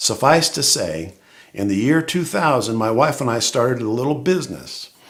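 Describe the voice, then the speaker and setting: A man speaks at a moderate pace with lively intonation, a medium pitch and some vocal fry. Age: 60s. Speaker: church member giving testimony. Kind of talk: testimony. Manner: conversational, humorous.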